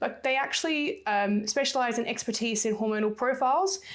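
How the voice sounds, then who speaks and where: Lively intonation and a fairly quick pace come through on a very clean recording with a silent background. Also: woman. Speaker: sports nutritionist and fitness coach. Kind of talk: solo podcast talk. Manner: fast.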